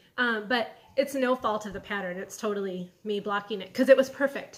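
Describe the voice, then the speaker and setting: Speaking at a fairly quick pace, a woman with a slight Michigan accent shows ordinary pitch variation. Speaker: knitting podcaster and yarn dyer. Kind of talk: casual video podcast. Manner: relaxed, casual with fillers.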